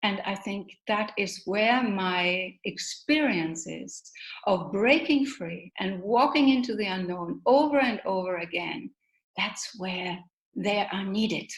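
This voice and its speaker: A woman's somewhat breathy, medium-pitched voice at a very slow pace with lively intonation. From Germany. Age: 60s. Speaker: motivational speaker. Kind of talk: interview.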